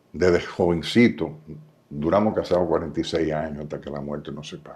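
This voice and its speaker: A man's very deep, low voice, fairly quick, with ordinary pitch variation and big swings in loudness. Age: 80s+. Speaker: businessman and former government official. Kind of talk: interview.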